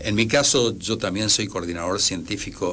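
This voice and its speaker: A man's voice carries audible room echo as he talks at a moderate pace, his pitch varying in an ordinary way. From Argentina. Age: 60s. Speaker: engineer. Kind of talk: radio interview. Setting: radio studio. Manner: halting.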